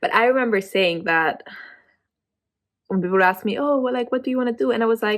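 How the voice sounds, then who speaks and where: Speaking with a non-native accent, a woman uses a fairly high pitch and ordinary pitch variation. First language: not English. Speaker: vlogger. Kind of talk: casual chat. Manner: halting.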